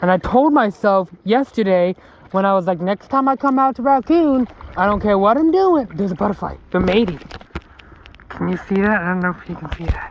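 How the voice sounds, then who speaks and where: Over noticeable background noise, a man with a high-pitched voice talks at a fairly quick pace with lively intonation. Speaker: outdoor vlogger. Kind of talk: casual vlog narration. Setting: outdoors, kayaking on a creek. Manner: halting.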